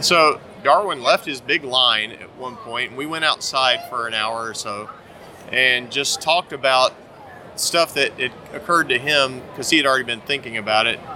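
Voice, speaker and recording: A man with an American accent speaks at a moderate pace and medium pitch, using ordinary pitch variation and big swings in loudness over noticeable background noise. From US South, North Carolina. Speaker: comics writer and artist. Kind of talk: interview. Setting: comic convention.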